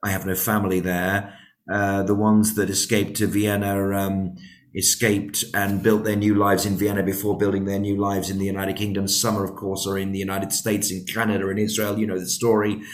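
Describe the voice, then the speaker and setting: A man with a British accent speaks at a fairly quick pace in a fairly low pitch, his intonation flat and monotone. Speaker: podcast host. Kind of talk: interview.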